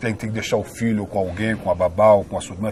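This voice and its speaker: A man with a fairly low pitch speaks very fast in a monotone, flat intonation. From Brazil, Rio de Janeiro. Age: 60s. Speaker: actor and filmmaker. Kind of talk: interview. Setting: on camera at a cultural venue. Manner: continuous flowing speech.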